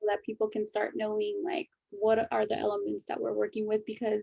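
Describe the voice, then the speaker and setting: A speaker with a Spanish accent, recorded with a dry, close sound and no echo. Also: woman. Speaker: podcast co-host. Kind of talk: casual chat. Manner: animated.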